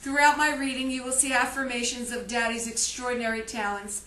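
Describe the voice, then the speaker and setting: A woman's high-pitched voice at a fairly quick pace, with noticeable background noise and audible room echo. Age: 60s. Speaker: grieving daughter and elder-care advocate. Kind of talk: personal testimony and diary reading. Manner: emotional, impromptu.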